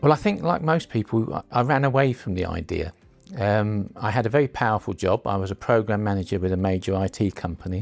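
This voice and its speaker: Music in the background behind a man's fairly low voice, very fast in pace and lively in intonation. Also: dry, close sound with no echo. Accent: southern English. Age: 70s. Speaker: unpaid carer. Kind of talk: interview testimony. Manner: hesitant, with fillers and repetitions.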